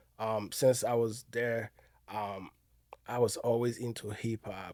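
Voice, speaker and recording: Flat and monotone, a dark, mellow voice moves at a fairly slow pace on a very clean recording with a silent background. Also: man, medium pitch for a man. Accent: Ivorian. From Ivory Coast. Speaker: restaurant owner and event promoter. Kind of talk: podcast interview. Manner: halting, many fillers.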